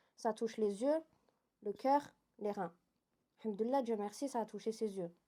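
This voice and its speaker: In a very clean recording with a silent background, a woman speaks fairly quickly at a fairly high pitch, with a dark, mellow tone and ordinary pitch variation. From Switzerland. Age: 20s. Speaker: interview guest. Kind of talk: testimony.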